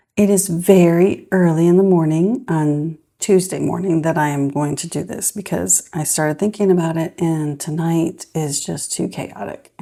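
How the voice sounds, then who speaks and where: A woman speaks softly at a moderate pace, with hardly any pauses. Her fairly low voice has a dark, mellow tone. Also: ordinary pitch variation. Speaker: budgeting vlogger, mom. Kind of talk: casual vlog monologue. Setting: at home early morning. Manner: soft-spoken, talking quietly.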